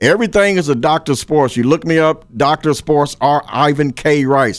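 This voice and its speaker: A man's fairly high voice at a moderate pace with ordinary pitch variation, in a very clean recording with a silent background. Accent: Kentucky. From Paris, Kentucky. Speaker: high school sports writer. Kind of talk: interview. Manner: halting, repeats words.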